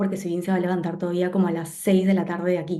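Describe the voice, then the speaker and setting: A woman speaks at a very fast pace in a monotone, flat intonation with a medium pitch. Her tone is dark and mellow, and room echo is audible. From Peru. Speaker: graphic designer. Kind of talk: interview conversation.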